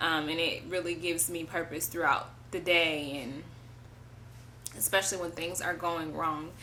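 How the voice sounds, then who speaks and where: In a room with audible echo, a woman speaks loudly at a moderate pace, her fairly low voice bright and sharp in tone and flat, monotone in intonation. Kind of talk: testimony. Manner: casual, hesitant with many fillers.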